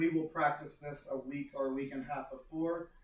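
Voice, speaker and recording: A man's voice, fairly high in pitch. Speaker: school staff presenting field day. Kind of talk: meeting presentation. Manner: fast.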